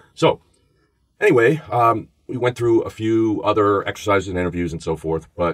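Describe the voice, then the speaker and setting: Someone speaks with a New York accent at a very fast pace. The intonation is lively. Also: man. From New York, the Bronx. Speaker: former FBI agent and podcast host. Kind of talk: podcast interview, storytelling.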